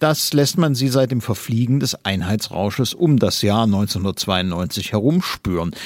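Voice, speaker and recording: A man's medium-pitched voice, very slow yet with hardly any pauses, lively in intonation, on a very clean recording with a silent background. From eastern Germany. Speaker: newspaper commentator. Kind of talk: read opinion commentary.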